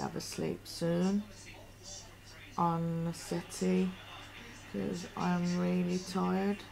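A woman drawls at a very slow pace, with long, frequent pauses. Light background noise sits behind her. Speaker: vlogger. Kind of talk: casual vlog chat. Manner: drowsy, low-energy drawl. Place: home room. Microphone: webcam.

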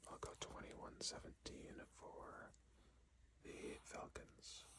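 A man whispering at a very slow pace. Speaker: ASMR creator / sports commentator. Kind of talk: ASMR sports predictions talk to camera. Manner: whispered, soft-spoken.

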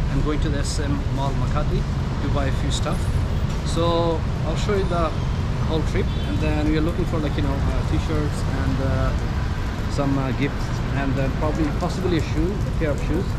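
Fairly quick talking from a man, with loud noise in the background. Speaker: travel vlogger. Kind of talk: casual vlog chat. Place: street. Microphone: phone near.

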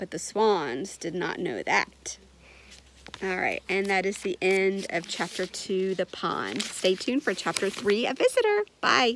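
A woman speaks at a fairly slow pace with ordinary pitch variation. The sound is dry with no echo, with light background noise. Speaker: reader of a children's book. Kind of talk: storytelling read-aloud. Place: garden. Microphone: phone near.

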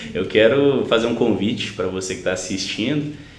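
Ordinary pitch variation amid audible room echo. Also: man. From Belo Horizonte, Minas Gerais, Brazil. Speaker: sertanejo singer; interview guest. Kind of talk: casual interview. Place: home room.

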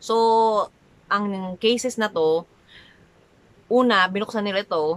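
A woman speaks at a medium pitch with lively intonation. Her tone is bright and sharp. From Manila, Philippines. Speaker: vlogger. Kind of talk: casual talk to camera. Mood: animated, somewhat dramatic. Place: home room.

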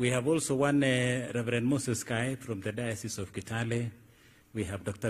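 A man speaks at a fairly quick pace in a somewhat breathy voice. His pitch varies in an ordinary way. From Kenya. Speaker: clergy master of ceremonies. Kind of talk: church announcements. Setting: church service with congregation. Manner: halting. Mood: warm, uplifting. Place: tent. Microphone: podium.

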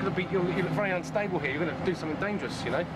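With loud background noise behind him, a man talks at a very fast pace. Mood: playful, amused. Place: car. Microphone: old recording.

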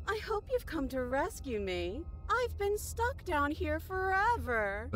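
Someone uses a put-on character voice at a fairly slow pace. Background noise is clearly present. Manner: pleading.

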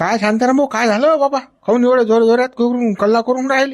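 A man performs a put-on character voice at an extremely high pitch. His intonation stays fairly even at a moderate pace. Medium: comedy sketch. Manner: drawling, exclamatory.

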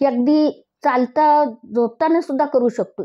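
Just a woman's voice, the background quiet. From Maharashtra, Pune; Maharashtra. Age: 60s. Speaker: physiotherapy patient. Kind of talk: testimonial. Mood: grateful, heartfelt. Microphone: lapel.

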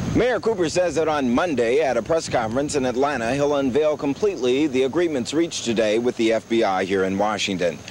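A man talks at a fairly quick pace with lively intonation and very even loudness. Background noise is noticeable. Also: medium pitch for a man, hardly any pauses. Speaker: television news reporter. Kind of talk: 1970s-80s TV news report. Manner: formal, even-paced, crisp broadcast delivery; authoritative, polished, steady newsreader cadence.

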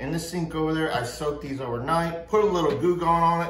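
Here a man is speaking amid audible room echo. Light background noise can be heard. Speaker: craft video host. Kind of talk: casual tutorial chat. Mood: joking, self-deprecating. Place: home room. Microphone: phone near.

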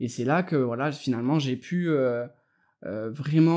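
The pace is moderate and the tone dark and mellow, with ordinary pitch variation. The recording is very clean, with a silent background. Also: man. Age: 30s. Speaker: web entrepreneur. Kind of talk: interview.

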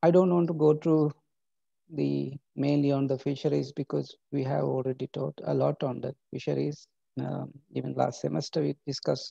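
The background is quiet, and the sound is dry with no echo. A man speaks at a moderate pace. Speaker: university lecturer. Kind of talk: lecture. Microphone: webcam.

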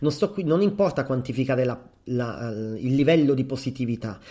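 Lively intonation and a dark, mellow tone mark this man's medium-pitched voice at a fairly quick pace. The recording is very clean, with a silent background. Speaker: psychologist and podcast host. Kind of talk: solo podcast monologue. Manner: hesitant, with fillers.

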